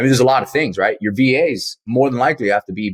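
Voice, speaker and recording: Medium-pitched male speech at a very fast pace, with a dry, close sound and no echo. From Miami, South Florida. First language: Spanish. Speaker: real estate investor. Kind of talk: podcast interview. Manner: animated.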